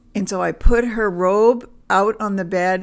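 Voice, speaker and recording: Here is a normal speaking voice with ordinary pitch variation. The recording is very clean, with a silent background. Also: woman. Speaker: family storyteller. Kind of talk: personal family anecdote.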